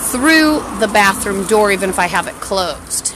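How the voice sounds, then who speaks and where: There is noticeable background noise. Over it, a woman speaks at a medium pitch. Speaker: vlogger. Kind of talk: personal rant. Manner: halting; distracted.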